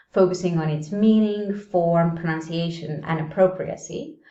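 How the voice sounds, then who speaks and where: A woman at a fairly slow pace, with ordinary pitch variation and audible room echo. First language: not English. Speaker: English teacher. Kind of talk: video tutorial. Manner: casual, conversational.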